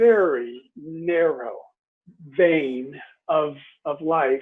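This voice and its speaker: A man speaks with an American accent. His pitch is high. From US West Coast. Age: 60s. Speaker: leadership consultant. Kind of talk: interview. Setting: video call.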